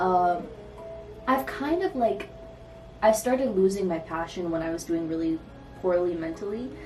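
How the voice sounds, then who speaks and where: Over music in the background, a woman with an American accent speaks at a moderate pace with a fairly low pitch, lively intonation, and long, frequent pauses. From Michigan. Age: 20s. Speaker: artist, poet, photographer. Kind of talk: casual vlog talk to camera. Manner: casual, rambling.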